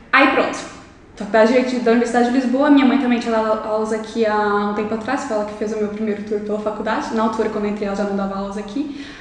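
Very fast and fairly high-pitched, this woman speaks with fairly even intonation. Audible room echo and noticeable background noise fill the recording. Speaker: law student and youtuber. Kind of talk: podcast interview.

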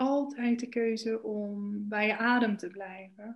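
A woman talks at a fairly high pitch with ordinary pitch variation. Her voice is somewhat breathy, and the background is quiet. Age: 30s. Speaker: spiritual coach and yoga teacher. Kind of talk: interview.

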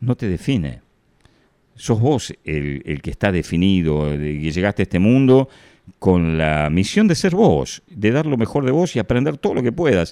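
In a Rioplatense accent, a man speaks at a fairly slow pace with a dark, mellow tone and fairly low pitch. His pitch swings very widely. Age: 60s. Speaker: radio host. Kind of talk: reflective monologue. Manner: casual, conversational.

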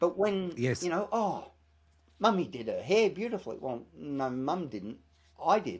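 A man's high-pitched voice with very wide pitch swings at a moderate pace, in a very clean recording with a silent background. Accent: Australian. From Australia. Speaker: TV presenter and author. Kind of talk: interview.

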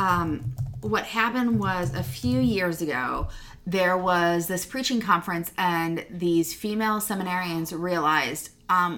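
Her pitch fairly low, a woman speaks at a moderate pace with lively intonation. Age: 40s. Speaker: Lutheran church youth ministry director and podcast co-host. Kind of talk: casual chat. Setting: in the same room as co-host.

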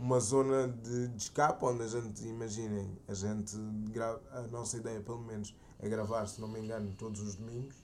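This man speaks at a moderate pace with a medium pitch. He talks with a European Portuguese accent. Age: 20s. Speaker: podcast co-host. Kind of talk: casual chat.

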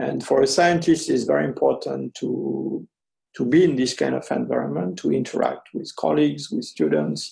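At a moderate pace, a man talks with a French accent. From French Algeria, then France. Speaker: anthropologist. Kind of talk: interview. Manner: halting, many fillers.

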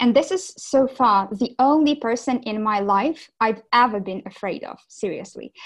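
At a moderate pace, a woman with a Ukrainian accent speaks with ordinary pitch variation over a quiet background. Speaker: business development director. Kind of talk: interview.

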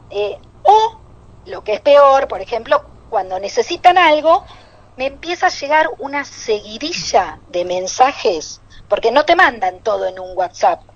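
A woman with a Rioplatense accent talks at a fairly slow pace in a high voice, with very wide pitch swings and big swings in loudness. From Buenos Aires. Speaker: comedian. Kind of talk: stand-up.

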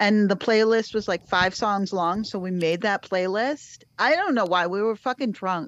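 A woman speaks at a moderate pace in a normal speaking voice, medium in pitch with ordinary pitch variation. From Cape Cod, Massachusetts. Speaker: podcast host. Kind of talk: casual chat.

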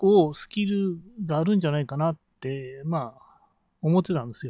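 The background is quiet. A man talks there at a moderate pace. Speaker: business coach and podcaster. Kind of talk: solo podcast monologue. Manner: many fillers and hesitations.

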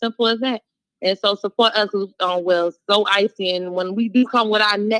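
The delivery is animated at a moderate pace, with a dry, close sound and no echo. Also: woman, medium pitch for a woman. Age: young. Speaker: hairstylist. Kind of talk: casual chat.

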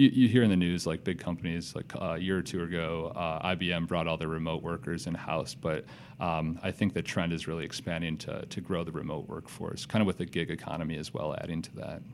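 At a very fast pace and with hardly any pauses, a man speaks in a very deep, low pitch with fairly even intonation. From US Midwest, Madison, Wisconsin. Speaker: startup founder. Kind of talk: interview. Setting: studio.

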